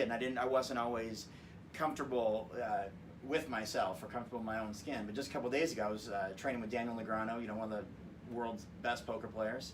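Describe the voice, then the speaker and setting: Audible room echo surrounds a man with a medium-pitched voice who speaks at a fairly quick pace with fairly even intonation. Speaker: patient giving a testimonial. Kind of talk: testimonial interview. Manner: fast; halting, with many repeated words.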